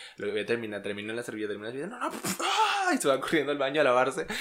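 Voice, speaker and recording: Talking at a very fast pace, a man with a medium-pitched voice uses ordinary pitch variation over noticeable background noise. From Venezuela, Los Llanos. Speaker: podcast co-host. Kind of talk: casual chat.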